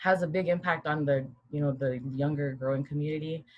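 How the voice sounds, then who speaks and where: Somewhat breathy, a woman with a very deep, low pitch speaks at a moderate pace with fairly even intonation. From Guam. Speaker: panelist. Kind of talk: panel discussion.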